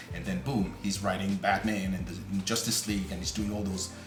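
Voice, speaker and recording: A man talks at a moderate pace in a non-native accent, with music playing in the background. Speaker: comic book creator. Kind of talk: casual talk to camera.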